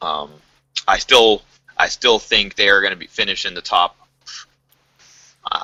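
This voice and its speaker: The voice has an American accent. The pace is fairly slow. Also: man. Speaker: gaming podcast host. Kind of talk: casual panel discussion.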